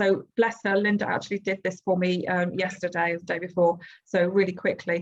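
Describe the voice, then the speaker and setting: With monotone, flat intonation, a woman speaks at a medium pitch and a fairly quick pace. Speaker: textiles teacher and course presenter. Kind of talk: webinar presentation. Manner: fast.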